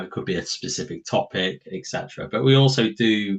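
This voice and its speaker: Here a man speaks with a British accent. His tone is relaxed. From southwest England. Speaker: podcast host, board game enthusiast. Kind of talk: casual chat. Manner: relaxed, informal.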